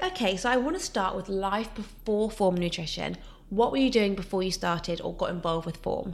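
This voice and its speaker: Fairly quick speech from a woman, a normal speaking voice at medium pitch with ordinary pitch variation. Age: 20s. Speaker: podcast host. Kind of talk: interview. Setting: home kitchen.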